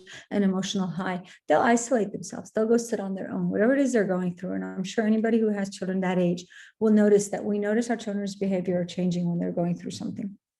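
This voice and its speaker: A woman talks at a very fast pace with fairly even intonation. Music plays in the background. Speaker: parenting expert. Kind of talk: webinar talk.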